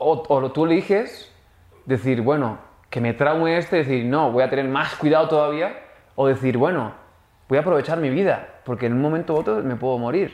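Here a man has an unremarkable speaking voice, fairly high in pitch. He speaks at a moderate pace with ordinary pitch variation. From raised abroad, Canada and the Netherlands. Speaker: actor. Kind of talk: casual chat.

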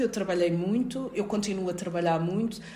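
Female speech amid noticeable background noise and audible room echo. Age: 40s. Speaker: occupational safety expert and university lecturer. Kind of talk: interview.

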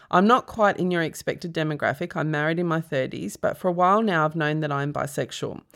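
Speaking with an Australian accent, a woman with a very deep, low pitch and ordinary pitch variation talks at a fairly quick pace in a very clean recording with a silent background. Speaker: comedian and podcast host. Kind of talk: casual chat. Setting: studio.

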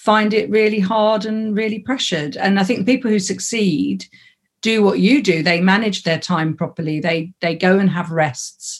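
Speaking at a fairly slow pace, a woman sounds somewhat breathy, with ordinary pitch variation. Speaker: comedy community founder. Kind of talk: casual chat.

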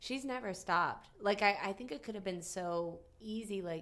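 Vocal fry marks a woman's speech in an American accent, her pitch varying in an ordinary way. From southwestern Virginia, US. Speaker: actress and comedian. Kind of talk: casual chat.

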